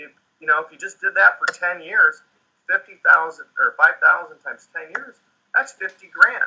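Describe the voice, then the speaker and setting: Recorded dry and close with no echo, a man talks at a moderate pace while his loudness swings widely. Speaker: tax and financial expert. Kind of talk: business webinar explanation.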